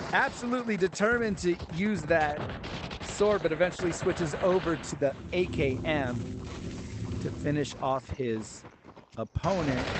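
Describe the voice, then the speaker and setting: A man speaks at a fairly slow pace in a fairly high pitch. His intonation is lively, and there is noticeable background noise. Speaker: live streamer and game announcer. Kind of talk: live sports-style play-by-play commentary.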